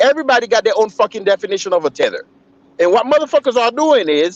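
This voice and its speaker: Over noticeable background noise, a man's voice swings very widely in pitch, with a dry, close sound and no echo. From Haiti. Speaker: livestream commentator. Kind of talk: heated debate. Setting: live stream. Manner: animated.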